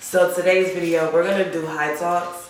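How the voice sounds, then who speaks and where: Moderate-paced speech from a woman, amid audible room echo and noticeable background noise. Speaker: vlogger. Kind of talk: casual monologue vlog. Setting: in a car. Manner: casual, rambling.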